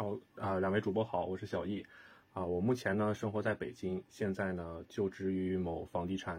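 Here a man speaks at a moderate pace. His pitch is very deep and low, with fairly even intonation. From northern China. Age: 30s. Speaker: real estate project manager. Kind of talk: casual chat.

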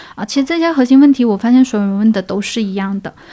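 Somewhat breathy and dark, mellow in tone, a woman talks at a fairly high pitch with ordinary pitch variation. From Guangdong, China. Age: 30s. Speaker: freelance artist. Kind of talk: casual interview. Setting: courtyard. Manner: smiling, laughing often; hesitant, many fillers.

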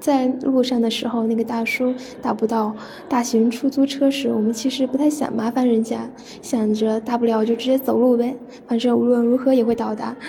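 A woman at a fairly high pitch and a fairly quick pace, monotone and flat in intonation, amid noticeable background noise. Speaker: university student, listener contributor. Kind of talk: reading aloud.

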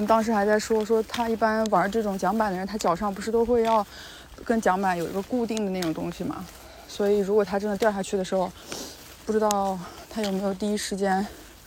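A woman's very fast, medium-pitched speech with monotone, flat intonation. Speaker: travel vlogger. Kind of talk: casual vlog narration.

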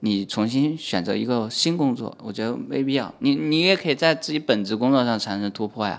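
A man with a medium-pitched voice talks at a fairly quick pace, barely pausing. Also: lively intonation. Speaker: stand-up comedian. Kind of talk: casual chat.

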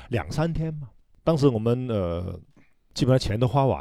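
Over a very clean recording with a silent background, a man talks at a fairly quick pace. His tone is dark and mellow, with very wide pitch swings. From Hong Kong. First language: Cantonese (speaking Chinese). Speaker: hairdresser and salon owner. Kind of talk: casual chat.

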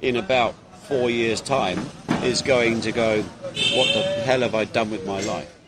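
Over noticeable background noise, a man of medium pitch speaks with an English accent. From England. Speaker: podcast co-host. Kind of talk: casual chat. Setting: cafe.

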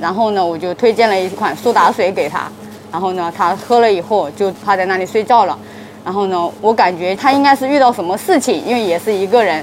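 Over noticeable background noise, a woman speaks fairly quickly at a medium pitch with ordinary pitch variation. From Anhui, China. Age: young. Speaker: convenience store manager. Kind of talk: interview. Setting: in a convenience store at night. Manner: halting, with many fillers.

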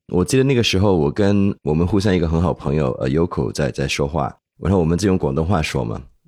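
A man at a very fast pace with a very deep, low pitch, vocal fry and a dark, mellow tone, on a very clean recording with a silent background. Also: lively intonation. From Hong Kong. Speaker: podcast co-host. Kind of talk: casual interview chat.

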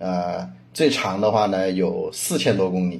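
At a moderate pace, a man speaks with lively intonation amid audible room echo. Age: 30s. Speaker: car owner, data company product lead. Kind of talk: casual chat. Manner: halting, many fillers.

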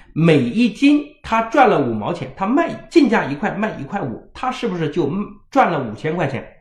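The speech is animated and fairly quick, with very wide pitch swings and audible room echo. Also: man. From rural China. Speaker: parenting educator. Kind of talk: lecture.

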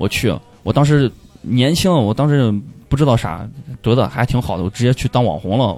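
Over music in the background, a man talks at a fairly quick pace and medium pitch, with lively intonation, very even loudness and long, frequent pauses. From Pucheng, Shaanxi (rural). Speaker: dreadlock stylist and stand-up comedian. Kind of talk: casual chat.

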